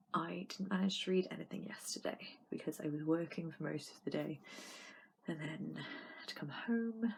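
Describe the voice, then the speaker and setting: There is vocal fry in this woman's voice. She speaks at a fairly slow pace. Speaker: book vlogger. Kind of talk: casual reading vlog talk to camera. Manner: hesitant, many filler sounds.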